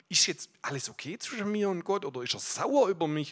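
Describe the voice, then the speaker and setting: A man with a Swabian accent speaks at a high pitch with lively intonation and an animated tone. His pace is moderate amid noticeable background noise. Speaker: guest preacher. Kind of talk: sermon.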